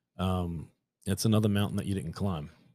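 A man talks at a moderate pace in a dark, mellow voice of fairly low pitch with ordinary pitch variation. The recording is very clean and the background silent. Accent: New York. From New York City, Staten Island. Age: 30s. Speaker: podcast host, new hunter. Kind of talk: solo podcast monologue. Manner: halting, many fillers and repeats.

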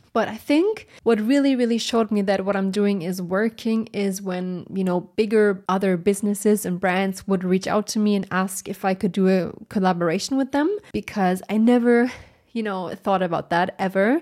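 A woman with a German accent speaks in a dark, mellow tone with ordinary pitch variation. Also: medium pitch for a woman, moderate pace, very clean recording, silent background. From Germany. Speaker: brand designer and podcast host. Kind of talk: solo Q&A podcast monologue. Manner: animated.

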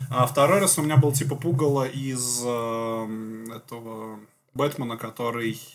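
Here a man talks at a fairly slow pace with a normal speaking voice. His pitch is medium, with ordinary pitch variation. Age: 30s. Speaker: podcast co-host. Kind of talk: casual chat. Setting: studio.

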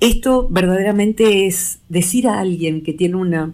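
Her voice dark and mellow, a woman speaks at a medium pitch and a fairly slow pace. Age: 60s. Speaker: psychologist. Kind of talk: radio interview. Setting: radio studio.

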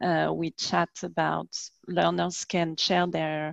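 Slowly, very slowly, a woman speaks in a French accent, the sound dry and close with no echo against a quiet background. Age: middle-aged. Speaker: language teacher and podcast host. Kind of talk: interview. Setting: video call.

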